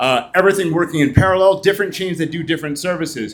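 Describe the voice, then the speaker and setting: A man speaks loud with a high pitch. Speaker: startup CEO presenting a blockchain project. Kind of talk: conference presentation. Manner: fast.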